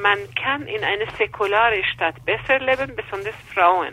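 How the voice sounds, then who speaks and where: A woman with an Iranian accent talks at a fairly slow pace with lively intonation over noticeable background noise. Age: 50s. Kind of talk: interview. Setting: phone call. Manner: halting, with hesitations.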